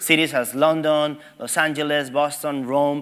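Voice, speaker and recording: Fairly high pitch from a man, set over noticeable background noise. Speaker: tech company representative. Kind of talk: conference presentation. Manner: fast.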